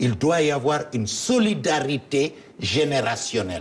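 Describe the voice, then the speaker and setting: A man at a very slow pace with very wide pitch swings, over noticeable background noise. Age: 70s. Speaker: politician. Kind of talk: interview.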